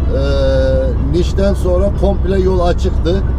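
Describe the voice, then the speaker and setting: A man talks while music plays in the background. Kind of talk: casual vlog chat. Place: car. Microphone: camera far.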